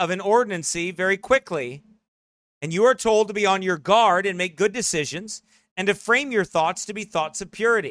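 Shouting in a raised, projected voice, a man speaks fairly quickly at a high pitch, his tone animated, bright and sharp, with ordinary pitch variation and a dry, close sound with no echo. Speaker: pastor and podcast preacher. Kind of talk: sermon-style broadcast commentary. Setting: studio broadcast. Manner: loud, shouting.

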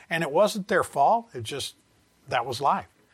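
Lively intonation marks this man's fairly high-pitched voice, delivered with a Southern US accent. The recording is very clean, with a silent background. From US South. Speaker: Bible teacher. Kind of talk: Bible study lecture. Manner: halting.

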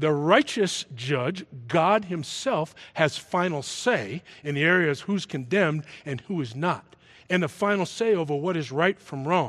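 Against a quiet background, a man with an American accent and a normal speaking voice talks at a fairly slow pace, his fairly high pitch carrying lively intonation. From Massachusetts. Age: 60s. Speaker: football coach. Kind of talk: sermon. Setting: church.

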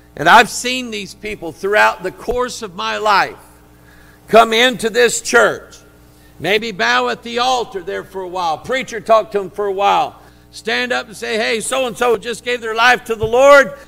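A man with a high pitch speaks at a moderate pace in a raised, projected, animated voice, with big swings in loudness and ordinary pitch variation. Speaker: preacher. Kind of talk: sermon delivered live to a congregation, with call-and-response. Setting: church. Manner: animated, fervent, exhorting the congregation directly; conversational, with asides and a touch of humor.

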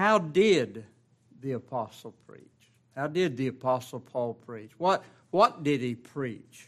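This man talks at a very slow pace. His pitch swings very widely. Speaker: pastor. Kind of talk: sermon. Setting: church.

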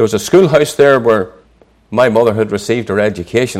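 Speaking at a fairly quick pace with a Northern Irish accent, a man keeps a fairly low pitch and fairly even intonation. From Northern Ireland, near Belfast. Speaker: preacher. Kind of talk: sermon.

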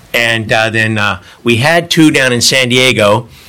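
Over noticeable background noise, a man with an American accent talks at a fairly slow pace. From Northern California. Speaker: missionary. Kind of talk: church talk to congregation. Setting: church Sunday school. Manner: conversational, with fillers and laughter.

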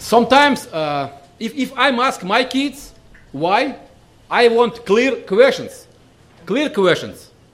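Speaking very slowly with long, frequent pauses, a man with a Russian accent uses an extremely high voice and lively intonation. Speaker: visiting preacher. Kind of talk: sermon. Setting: church. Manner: halting.

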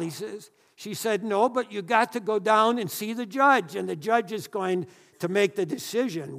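On a very clean recording with a silent background, a man speaks in a high pitch at a moderate pace. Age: 80s+. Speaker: pastor. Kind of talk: sermon.

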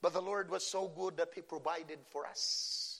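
A man with a Filipino accent at a moderate pace. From Philippines. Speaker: pastor. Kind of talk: sermon. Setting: church.

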